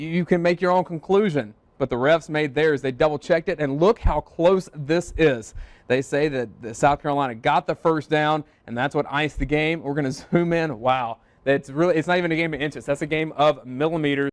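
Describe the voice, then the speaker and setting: A man with a normal speaking voice talks at a fairly quick pace, his fairly high pitch showing ordinary variation, in a dry, close sound with no echo over a quiet background. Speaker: sports anchor and reporter. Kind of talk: live sports reporter stand-up / anchor delivery.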